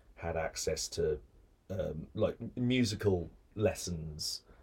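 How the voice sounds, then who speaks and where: A dark, mellow tone, somewhat breathy, carries ordinary pitch variation. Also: man. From Birmingham, England. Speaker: actor and comedy writer. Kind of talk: casual interview chat. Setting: recording studio. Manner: projects his voice well.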